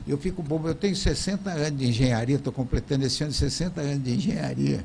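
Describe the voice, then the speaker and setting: Over noticeable background noise, a man talks at a very fast pace and fairly high pitch with ordinary pitch variation. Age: 80s+. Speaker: engineer and TV show host. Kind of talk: casual chat.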